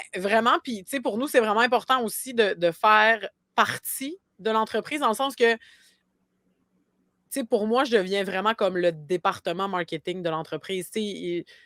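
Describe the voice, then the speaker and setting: Heard dry and close with no echo on a very clean recording with a silent background, a woman with a Côte-Nord Quebec accent speaks at a moderate pace and fairly high pitch, with ordinary pitch variation and long, frequent pauses. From Quebec, Côte-Nord (Havre-Saint-Pierre). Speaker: marketing agency founder. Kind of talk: podcast interview. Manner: many fillers and repetitions.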